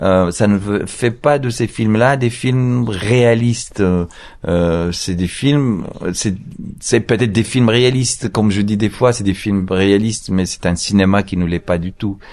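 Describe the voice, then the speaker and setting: A man speaks at a very slow pace with a fairly low pitch. His pitch variation is ordinary. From Morocco. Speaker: film director. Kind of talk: interview. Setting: outdoor hotel patio. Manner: halting.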